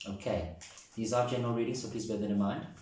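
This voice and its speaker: A man speaks amid noticeable background noise. Audible room echo is present as well. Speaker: tarot reader. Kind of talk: tarot reading to camera. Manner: fast.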